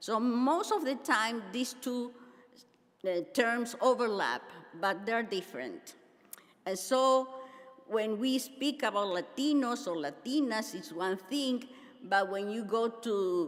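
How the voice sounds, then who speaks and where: A woman with a Spanish accent talks at a very slow pace, with fairly high pitch and lively intonation. Her long, frequent pauses carry audible room echo. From Argentina. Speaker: pastor and seminary teacher. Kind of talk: conference keynote address.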